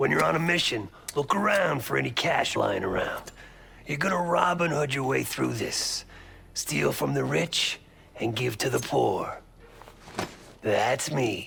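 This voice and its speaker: A man puts on a raspy character voice at a medium pitch and moderate pace. He leaves long, frequent pauses. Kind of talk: video game voice acting. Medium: video game. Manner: sarcastic, blunt, profane.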